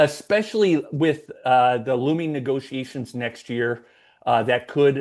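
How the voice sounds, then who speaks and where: A man's plain, everyday voice at a medium pitch and fairly slow pace, with ordinary pitch variation against a quiet background. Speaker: podcast host. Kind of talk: casual chat.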